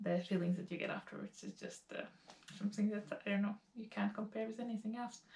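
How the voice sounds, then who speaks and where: A woman speaks very fast at a medium pitch, her intonation fairly even. Noticeable background noise runs under her voice. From Latvia. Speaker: lifestyle vlogger. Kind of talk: casual talk to camera.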